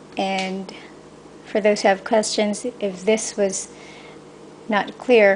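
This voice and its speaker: A woman with a Filipino accent speaks at a medium pitch and a fairly slow pace. Her intonation is monotone and flat, with noticeable background noise behind her. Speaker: cake decorator. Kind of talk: tutorial. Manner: halting.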